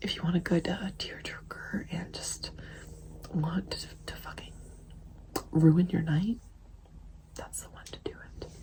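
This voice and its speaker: Whispering at a fairly slow pace, with big swings in loudness and long, frequent pauses. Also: woman. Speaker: ASMR creator. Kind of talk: casual chat. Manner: soft-spoken.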